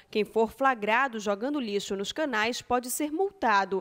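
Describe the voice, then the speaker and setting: This is an ordinary speaking voice with ordinary pitch variation. It moves at a moderate pace. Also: woman. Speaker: TV news anchor. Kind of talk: news reading. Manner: formal.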